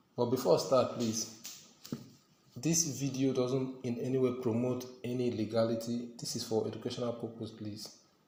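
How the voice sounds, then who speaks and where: A man's monotone, flat delivery at a moderate pace, with audible room echo and noticeable background noise. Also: medium pitch for a man. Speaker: tech tutorial youtuber. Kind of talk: tutorial.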